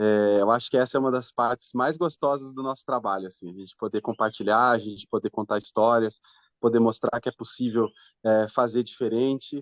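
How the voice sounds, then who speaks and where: Fairly quick speech with fairly even intonation, in a dry, close sound with no echo. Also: man, medium pitch for a man. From southern Brazil, Londrina, Paraná. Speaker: fintech co-founder. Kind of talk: interview. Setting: podcast. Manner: halting.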